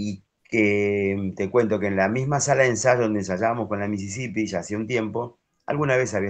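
In a plain, everyday voice, a man speaks at a moderate pace with a fairly low pitch. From Argentina. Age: 50s. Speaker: harmonica player; interviewee. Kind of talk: interview. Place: home room. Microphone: video call.

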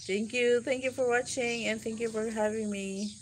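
A woman speaks with a Filipino accent. Light background noise can be heard. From Philippines (Mindanao); Philippines. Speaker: vlogger. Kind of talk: live stream chat. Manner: repetitive. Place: garden. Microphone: phone near.

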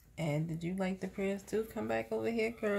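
Fairly quick speech with very wide pitch swings over light background noise. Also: woman. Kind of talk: casual family chat. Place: home room. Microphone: phone near.

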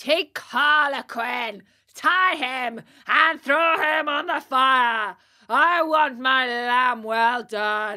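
A put-on character voice shouts at a very slow pace in a very clean recording with a silent background. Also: female-sounding voice, high pitch for a woman. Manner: yelling, commanding.

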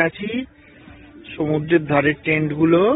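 Faint music plays behind a man whose dry voice, with no echo, shows ordinary pitch variation. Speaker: tourist vlogger. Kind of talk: casual vlog chat. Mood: sarcastic complaining about the stay. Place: beach. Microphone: phone near.

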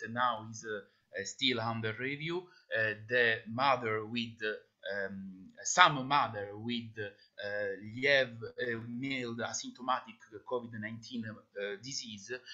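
Against a quiet background, a man with an Italian accent speaks at a very slow pace and medium pitch, with ordinary pitch variation and big swings in loudness. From Italy. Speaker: pathologist; conference presenter. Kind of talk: Q&A after a presentation. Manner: halting, many fillers. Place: home room. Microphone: webcam.

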